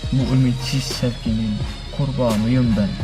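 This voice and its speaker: Speech at a very slow pace, with music in the background. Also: man. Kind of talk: poetry reading. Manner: forceful, intense.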